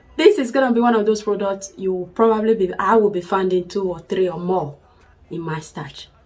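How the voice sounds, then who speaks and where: Against background music, a woman talks at a moderate pace in a medium pitch with ordinary pitch variation. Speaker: hair care vlogger. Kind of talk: product review tutorial. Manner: animated.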